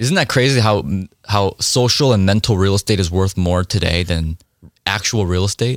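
In a very clean recording with a silent background, a man with a normal speaking voice talks at a moderate pace with ordinary pitch variation and very even loudness. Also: fairly low pitch for a man. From South Korea, raised in US from age 5. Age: 20s. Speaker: real estate investor. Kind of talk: interview conversation.

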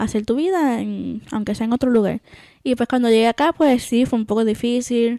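A woman with a Puerto Rican accent, a fairly high pitch and a dark, mellow tone, ordinary pitch variation at a moderate pace, in a dry, close sound with no echo. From Puerto Rico. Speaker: podcast co-host. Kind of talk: casual chat.

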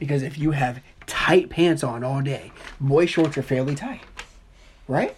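Despite noticeable background noise, a woman with a very deep, low voice sounds animated, speaking at a fairly slow pace with long, frequent pauses. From US Midwest, Dayton, Ohio. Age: 20s. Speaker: podcast co-host. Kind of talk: casual debate.

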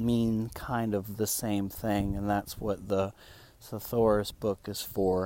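A man speaks very slowly in a flat monotone. His pitch is fairly low. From Spain. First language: Spanish. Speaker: English teaching podcaster. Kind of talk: language lesson monologue. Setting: outdoors in the woods with birdsong. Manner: deliberately slowed speech; hesitant with many fillers.

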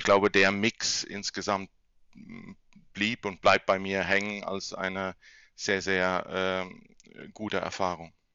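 A man with a fairly low pitch speaks at a very slow pace in a monotone, flat intonation, with long, frequent pauses and big swings in loudness. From Kurpfalz region near Mannheim, Germany. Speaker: banker and finance expert. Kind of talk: interview. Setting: home office.

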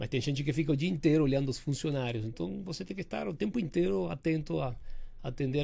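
With music in the background, a man in a Spanish accent speaks at a fairly high pitch. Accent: foreign accent in Portuguese, Spanish-tinged. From Uruguay, Argentine father, Rio mother. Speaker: building maintenance company director. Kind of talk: interview podcast. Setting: studio.

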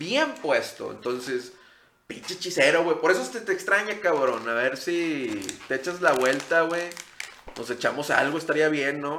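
Speaking fairly slowly with lively intonation, a man's fairly high voice comes through audible room echo and noticeable background noise. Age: 30s. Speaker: podcast host. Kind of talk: casual chat.

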